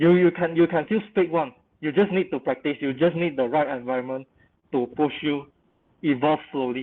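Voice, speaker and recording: A fairly high-pitched man at a moderate pace with ordinary pitch variation. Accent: Malaysian. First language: not English. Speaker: creative industry professional panelist. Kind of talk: panel webinar discussion.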